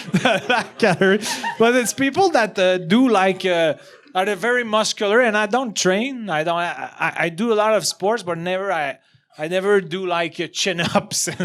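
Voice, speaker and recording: With a Quebec accent, a man speaks in a high voice at a moderate pace with ordinary pitch variation over noticeable background noise. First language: French. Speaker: comedian. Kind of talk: casual chat. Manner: halting.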